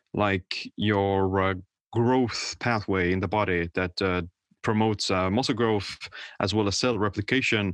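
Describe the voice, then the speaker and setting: At a fairly slow pace, a man with an Estonian accent talks with fairly even intonation, the sound dry and close with no echo over a quiet background. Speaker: author and health coach. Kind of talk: casual interview explanation.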